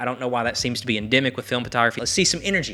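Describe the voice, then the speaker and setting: A man with a Southern US accent speaks in a bright, sharp tone with ordinary pitch variation. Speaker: film photography YouTuber. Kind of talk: casual talk to camera. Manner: opinionated, ranting.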